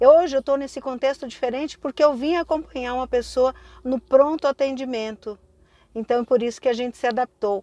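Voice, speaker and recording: Recorded with a dry, close sound and no echo, a woman speaks at a moderate pace in a high voice with fairly even intonation. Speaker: spiritual teacher. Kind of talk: casual vlog talk. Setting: at an emergency care unit.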